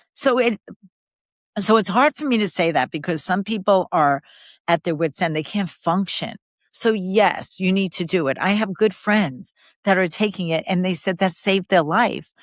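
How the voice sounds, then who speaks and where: A woman with an American accent speaks at a moderate pace in a normal speaking voice, medium in pitch with ordinary pitch variation. The sound is dry and close with no echo, on a very clean recording with a silent background. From New York City, Queens. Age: 60s. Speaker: podcast guest, mother. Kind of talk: casual conversation interview.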